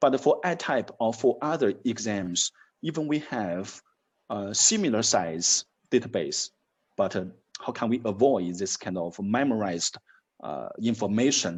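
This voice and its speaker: With a Chinese accent, a man at medium pitch talks at a fairly slow pace with lively intonation. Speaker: university dean. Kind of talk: interview. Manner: halting.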